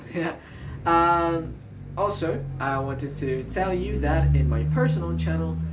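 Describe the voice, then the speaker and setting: A man talks at a fairly slow pace. Audible room echo is present. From Colombia. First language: Spanish. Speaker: math YouTuber. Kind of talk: math tutorial outro. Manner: hesitant, many fillers.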